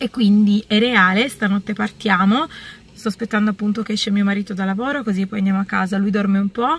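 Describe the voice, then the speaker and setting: A woman speaks somewhat breathily, in dry sound with no echo. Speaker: vlogger. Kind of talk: casual vlog chat. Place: car. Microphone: phone near.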